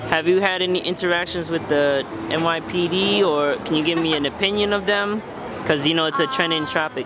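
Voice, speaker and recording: Over noticeable background noise, a man speaks fairly quickly in a high voice. His loudness stays very even, with ordinary pitch variation. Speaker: street interviewer. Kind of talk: interview questions.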